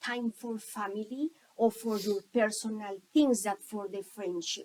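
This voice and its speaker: A woman talks at a very slow pace with fairly even intonation. Her loudness swings widely. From Colombia. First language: Spanish. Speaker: school staff member. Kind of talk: interview. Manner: halting.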